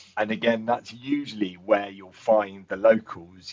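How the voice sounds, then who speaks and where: With an English accent, a man speaks at a fairly slow pace. His pitch is fairly low and his intonation fairly even. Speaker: tourism board representative. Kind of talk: interview.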